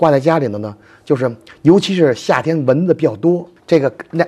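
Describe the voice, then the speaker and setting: A man speaks in a Beijing accent at a fairly quick pace. His fairly high voice has a dark, mellow tone and ordinary pitch variation. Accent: Beijing Mandarin, strong erhua. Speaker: folk culture expert. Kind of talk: casual explanation. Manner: animated.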